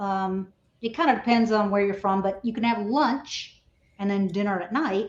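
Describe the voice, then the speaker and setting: A woman speaks at a medium pitch with a Texan accent. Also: ordinary pitch variation, moderate pace. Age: old. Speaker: reality TV contestant. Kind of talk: casual chat.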